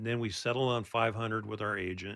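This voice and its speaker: A man speaks very fast at a fairly low pitch, his intonation monotone and flat. The background is quiet. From Oregon, Portland area. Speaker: mortgage loan officer. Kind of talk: radio interview. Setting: studio.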